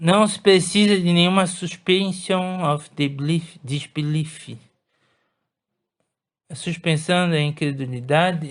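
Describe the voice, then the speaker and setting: The speech moves at a fairly slow pace with fairly even intonation against a quiet background. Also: man. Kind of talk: audiobook reading. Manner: slow, repetitive, rereads phrases.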